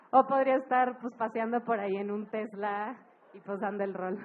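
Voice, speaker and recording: A woman's fairly high voice holds fairly even intonation as she talks at a moderate pace. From Monterrey, Mexico. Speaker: music festival director. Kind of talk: live talk to an audience. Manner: casual, humorous.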